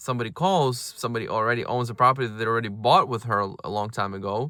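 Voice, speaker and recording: At a very fast pace, a man with a non-native accent speaks at medium pitch with fairly even intonation and a bright, sharp tone, in a very clean recording with a silent background. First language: not English. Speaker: real estate agent and brokerage owner. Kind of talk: casual advice talk to camera. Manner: halting, many fillers and repeated words.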